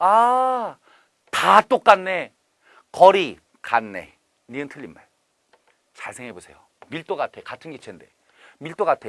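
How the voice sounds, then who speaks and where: A man's animated, high-pitched voice at a fairly slow pace, with very wide pitch swings, big swings in loudness, long, frequent pauses and a dry, close sound with no echo. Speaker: chemistry instructor. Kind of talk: lecture.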